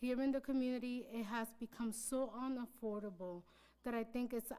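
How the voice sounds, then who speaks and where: Here is a woman with an ordinary speaking voice. She keeps a moderate pace and fairly even intonation. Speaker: public commenter at city council meeting. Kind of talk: public comment speech. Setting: council chamber, hybrid meeting.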